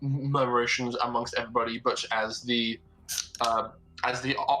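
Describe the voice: Plain reading aloud, intonation fairly even throughout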